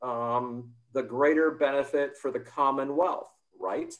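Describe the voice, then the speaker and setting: A man with an American accent and an ordinary speaking voice talks at a fairly slow pace and a fairly high pitch. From United States. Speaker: democracy policy expert, panelist. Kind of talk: panel discussion.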